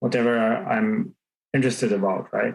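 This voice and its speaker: A man with an Israeli accent speaks with lively intonation. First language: Hebrew. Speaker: tech startup founder. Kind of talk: podcast interview. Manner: halting, many fillers and repeats.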